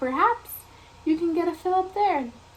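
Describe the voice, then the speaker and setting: Using a put-on character voice, a woman talks at a moderate pace in a squeaky, extremely high pitch. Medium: read story.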